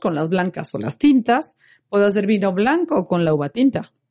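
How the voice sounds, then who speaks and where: A woman with a dark, mellow tone speaks at a medium pitch and moderate pace. Her pitch swings very widely against a quiet background. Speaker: wine expert co-host. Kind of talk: casual chat.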